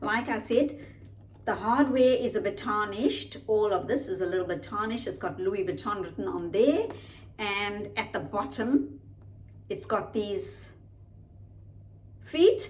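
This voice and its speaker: Audible room echo surrounds a woman who speaks at a fairly slow pace with long, frequent pauses. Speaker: lifestyle vlogger. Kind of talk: unboxing video, casual product review. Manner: slow, deliberate.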